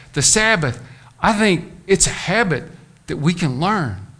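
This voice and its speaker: A man talks at a moderate pace with a bright, sharp tone. His pitch swings very widely, and room echo is audible. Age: 60s. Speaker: pastor. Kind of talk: sermon.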